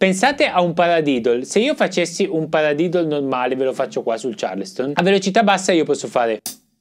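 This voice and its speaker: Music plays behind a man who talks at a fairly quick pace with lively intonation. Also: hardly any pauses. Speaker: drum teacher. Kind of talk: tutorial. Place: studio.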